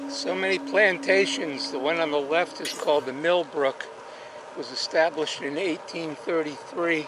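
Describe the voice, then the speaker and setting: Over noticeable background noise, a man talks at a moderate pace. His voice is high-pitched with lively intonation. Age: 60s. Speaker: cycling vlogger. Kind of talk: travel vlog narration. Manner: casual, halting with fillers.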